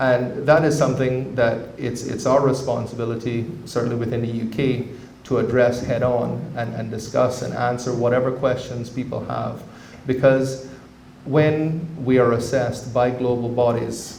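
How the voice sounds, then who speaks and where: A man speaks at a moderate pace and medium pitch, with audible room echo. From Cayman Islands. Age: 40s. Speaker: government representative. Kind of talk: public talk. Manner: halting, with many repeated words.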